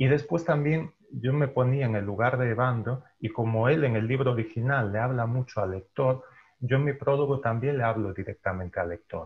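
Somewhat breathy, a man talks at a moderate pace with hardly any pauses and ordinary pitch variation. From Galicia, Spain. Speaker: translator and journalist. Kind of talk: panel discussion. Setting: video call. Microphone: earbuds.

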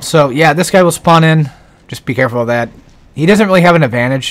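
Very fast speech with very wide pitch swings over noticeable background noise. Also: man. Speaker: video game guide commentator. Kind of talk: gameplay commentary. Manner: casual, rambling with fillers.

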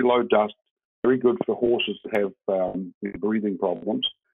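A man speaks with vocal fry and ordinary pitch variation. The background is quiet. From New Zealand. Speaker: hemp home builder, company co-founder; guest. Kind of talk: interview; interview answer. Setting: video call. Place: home room.

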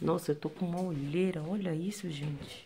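Fairly low-pitched speech from a woman, with noticeable background noise. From Brazil, Porto Velho, Rondônia (North). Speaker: vlogger. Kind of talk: casual vlog. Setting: outdoors after a run. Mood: tired, recounting hard day. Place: home room. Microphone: phone near.

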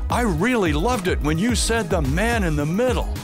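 At a moderate pace, a man talks with clear music in the background. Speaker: public address announcer. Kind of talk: casual interview answer, reminiscing about career. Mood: warm, proud, nostalgic. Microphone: headset.

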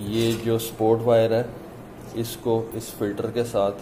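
Noticeable background noise runs under this recording. A man speaks in a fairly low pitch with monotone, flat intonation. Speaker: product demonstrator. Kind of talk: tutorial. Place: office.

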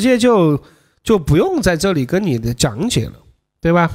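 Against a quiet background, a man with a Sichuan accent talks at a moderate pace in an animated tone, his pitch swinging very widely. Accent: Sichuan-accented Mandarin. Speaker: dating coach livestreamer. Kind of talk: livestream commentary. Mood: joking, casual. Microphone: studio mic.

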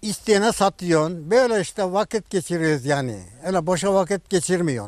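Set against a quiet background, a man talks in a high pitch with lively intonation. His pace is moderate and the sound is dry, with no echo. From Turkey, Denizli (Çameli). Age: 80s+. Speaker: kaval and sipsi player, instrument maker. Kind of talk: interview answer. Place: garden.

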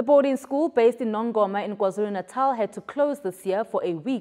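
Lively intonation carries a dark, mellow tone. The pace is moderate and the background quiet. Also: woman. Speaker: television news presenter. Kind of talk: formal news bulletin reading, scripted. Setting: studio. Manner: formal, measured, even-paced newsreader delivery; clear, polished, neutral tone with scripted headlines.

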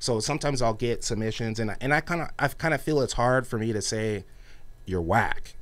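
At a fairly quick pace, a man speaks at a medium pitch with ordinary variation. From California, Ventura County; California. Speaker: hip-hop radio DJ. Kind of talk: casual interview. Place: studio. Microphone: studio mic.

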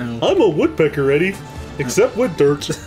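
At a moderate pace, a put-on character voice at middle pitch speaks over clear music in the background. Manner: dopey.

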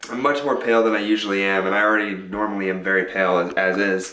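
A man speaks at a very fast pace in a fairly low voice with fairly even intonation. Room echo is audible, along with light background noise. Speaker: college student vlogger. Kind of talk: casual vlog chat. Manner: weak, low-energy sick voice.

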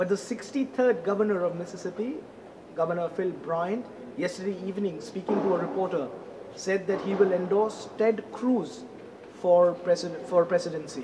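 The speech moves at a moderate pace, broken by long, frequent pauses, with ordinary pitch variation. Noticeable background noise runs underneath. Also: man, high pitch for a man. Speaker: news reporter. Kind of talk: news stand-up report. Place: hall. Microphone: handheld.

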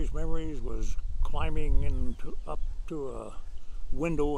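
Over noticeable background noise, a man talks in a dry sound with no echo. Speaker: oral history interviewee. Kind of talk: oral history interview, reminiscing. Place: garden.

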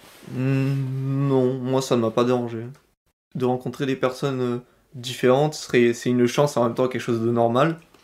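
Very slowly and with long, frequent pauses, a man at a medium pitch talks in a monotone, flat way. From France, Vaucluse near Avignon. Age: 19. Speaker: university student. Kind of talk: testimony.

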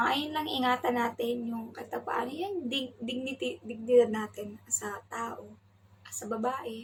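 Her voice is high for a woman, with ordinary pitch variation. She speaks at a very slow pace. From Philippines. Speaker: domestic worker vlogger. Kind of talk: casual vlog talk. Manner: raised volume. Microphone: no external mic, may sound quiet.

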